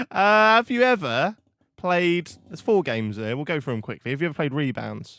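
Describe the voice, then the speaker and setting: This man talks at a fairly quick pace with a fairly high pitch and a slight East Anglian accent. His pitch swings very widely and his loudness rises and falls a lot. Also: very clean recording, silent background. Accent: weak Norwich. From Norfolk, England (Norwich). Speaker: podcast host. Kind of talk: casual chat.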